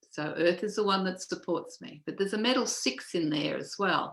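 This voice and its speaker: Ordinary pitch variation marks this woman's speech in an Australian accent. She keeps a moderate pace. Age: 60s. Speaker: feng shui teacher. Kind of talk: casual chat.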